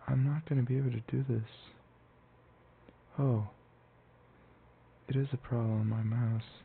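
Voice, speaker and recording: A soft-spoken man's medium-pitched voice, at a moderate pace with long, frequent pauses, fairly even intonation and very even loudness. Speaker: ASMR gaming channel host. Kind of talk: casual gameplay commentary.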